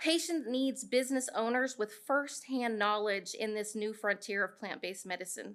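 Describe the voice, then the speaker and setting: A woman's fairly high-pitched voice with ordinary pitch variation and hardly any pauses. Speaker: small cannabis processor business owner. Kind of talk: public comment at town hall, partly read from notes. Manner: fast.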